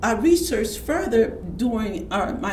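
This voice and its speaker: A woman speaks at medium pitch and a moderate pace, with lively intonation. Audible room echo and noticeable background noise fill the recording. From Houston, Texas. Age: 70s. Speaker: community elder and healer. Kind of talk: interview storytelling. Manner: halting, with frequent restarts.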